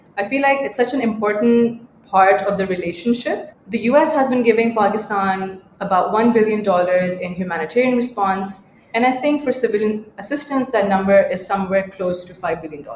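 A woman at a moderate pace, with ordinary pitch variation, big swings in loudness and noticeable background noise. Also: fairly high pitch for a woman. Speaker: podcast co-host and researcher. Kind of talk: casual chat.

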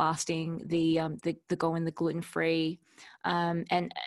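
With an Australian accent, a woman speaks in a fairly low pitch against a quiet background. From Melbourne, Australia. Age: 30s. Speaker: entrepreneur. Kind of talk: casual interview.

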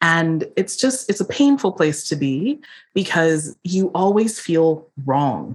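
An American-accented woman's fairly low voice, very slow, with very wide pitch swings and very even loudness. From US Northeast, Philadelphia. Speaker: body liberation coach. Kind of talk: interview.

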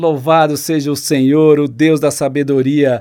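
Fairly slow speech from a man, fairly high in pitch, with an unremarkable speaking voice. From Brazil, rural Paraná. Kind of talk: devotional teaching podcast.

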